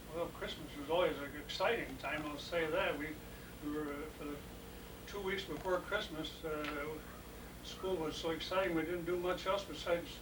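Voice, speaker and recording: A man with an American accent and fairly even intonation, noticeable background noise around him. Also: moderate pace. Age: 80s+. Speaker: retired farm-raised county official. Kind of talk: family reminiscence conversation.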